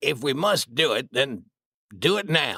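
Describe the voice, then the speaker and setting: A man speaks in a put-on character voice, raspy and fairly high-pitched. His intonation is lively and his pace fairly slow. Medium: read story.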